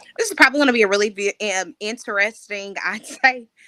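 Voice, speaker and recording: Raised and projected, a woman's voice of bright, sharp tone. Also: dry, close sound with no echo. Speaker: podcast host, editor and writing coach. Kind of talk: casual livestream podcast chat. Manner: loud.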